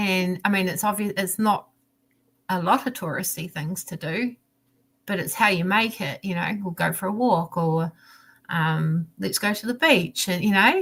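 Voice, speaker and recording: A woman speaks at a medium pitch with a southern New Zealand accent. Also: ordinary pitch variation, moderate pace. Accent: southern New Zealand, rolled R's. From New Zealand, South Island (Dunedin area). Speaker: diamond painting crafter. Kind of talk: casual chat. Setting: live stream video call. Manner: animated.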